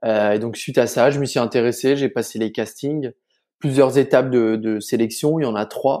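A man's medium-pitched voice with a dark, mellow tone and fairly even intonation. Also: moderate pace, very clean recording, silent background. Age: 20s. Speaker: pastry chef. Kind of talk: interview conversation. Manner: hesitant, many fillers.

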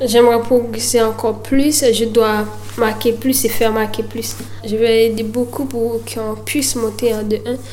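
The speech moves at a fairly slow pace. Audible room echo and noticeable background noise fill the recording. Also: woman. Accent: Haitian. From Haiti (Miragoâne). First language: Haitian Creole (speaking French). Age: 20s. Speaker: footballer. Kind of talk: interview. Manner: halting.

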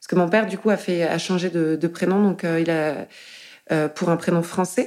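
Fairly quick speech from a woman, her pitch varying in an ordinary way. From France. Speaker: artist and tattooist. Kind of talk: interview conversation. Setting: living room. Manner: halting, many fillers.

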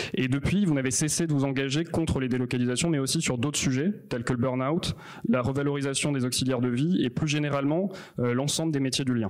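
Noticeable background noise sits behind a man speaking. He talks at a fairly quick pace with very even loudness. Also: fairly high pitch for a man, ordinary pitch variation. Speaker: event moderator. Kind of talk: moderating, introducing guests.

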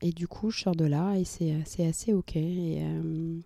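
A woman's dark, mellow tone at a fairly low pitch and a very slow pace. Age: 30s. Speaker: entrepreneur, cancer survivor. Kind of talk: personal testimony. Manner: halting, many hesitations.

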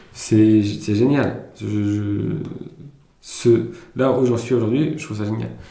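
Man's fairly low voice, very slow with long, frequent pauses, ordinary pitch variation, big swings in loudness and audible room echo. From Germany, then France from age 11. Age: 30s. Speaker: entrepreneur. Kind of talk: interview.

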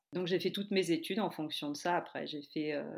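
A woman speaks with fairly even intonation. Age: 40s. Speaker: primary school teacher turned yoga teacher. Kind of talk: interview.

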